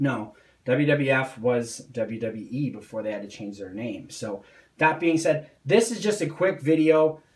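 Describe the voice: Amid audible room echo, a man speaks at a fairly slow pace and medium pitch, with a slightly mellow tone and ordinary pitch variation.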